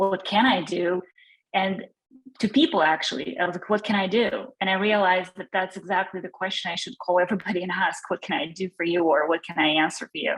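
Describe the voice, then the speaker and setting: Very fast female speech in a Russian accent, medium in pitch with ordinary variation. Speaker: attendee at a discussion group. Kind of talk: personal sharing in group discussion. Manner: halting.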